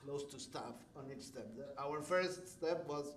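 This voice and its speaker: Audible room echo surrounds a man with a non-native accent whose fairly high voice holds a fairly even intonation. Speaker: development manager. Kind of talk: public presentation at city meeting. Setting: city commission meeting chamber. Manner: passionate.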